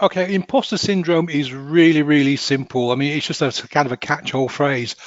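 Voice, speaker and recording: Noticeable background noise behind a man's fairly high, fairly quick voice, its pitch varying in an ordinary way. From northern England, Hull. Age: 50s. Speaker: hypnotherapist. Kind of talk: podcast interview.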